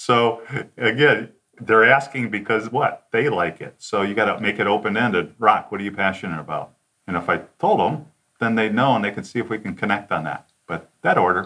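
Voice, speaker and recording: An unremarkable speaking voice from a man with an American accent, at a fairly quick pace with ordinary pitch variation. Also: fairly low pitch for a man. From Detroit suburbs, Michigan. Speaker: sales consultant. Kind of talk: interview.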